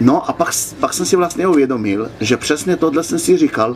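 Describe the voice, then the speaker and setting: A man speaks with ordinary pitch variation. There is noticeable background noise behind him. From Slovenia. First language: Slovene (speaking Czech). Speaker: motorcycle traveller. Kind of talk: interview. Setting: outdoors at a swimming pool.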